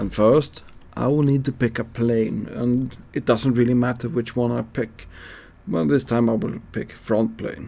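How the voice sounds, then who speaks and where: In a Swedish accent, a man speaks at a fairly slow pace with medium pitch and ordinary pitch variation. His tone is dark and mellow. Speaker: CAD teacher. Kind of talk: tutorial. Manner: halting.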